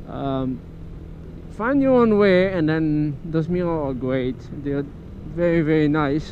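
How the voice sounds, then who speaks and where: A man's fairly high, fairly slow voice with ordinary pitch variation, long and frequent pauses, and audible room echo. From France. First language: French. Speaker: motorcycle vlogger. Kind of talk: casual vlog while riding. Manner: casual, halting.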